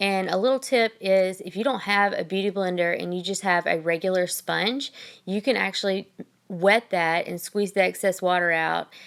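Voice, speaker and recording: Speaking at a moderate pace, a woman with a Southern US accent uses a medium pitch and ordinary pitch variation. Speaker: makeup artist. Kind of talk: makeup tutorial. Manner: casual, frequent ums.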